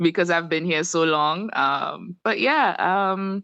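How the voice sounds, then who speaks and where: Speaking at a very slow pace, a woman with an American accent shows ordinary pitch variation. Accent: Trinidadian, fluctuating with American. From Trinidad and Tobago. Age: 30s. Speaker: spiritual worker. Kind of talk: casual interview.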